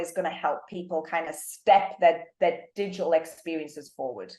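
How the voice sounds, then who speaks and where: A woman talks at a fairly quick pace with ordinary pitch variation. She has a British accent. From UK. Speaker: marketing executive. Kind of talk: interview.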